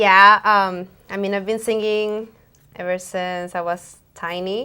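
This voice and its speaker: A woman speaks very slowly in a bright, sharp tone, her medium pitch held flat and monotone. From Moldova and Mexico. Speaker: singer-songwriter. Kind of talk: interview. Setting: TV studio.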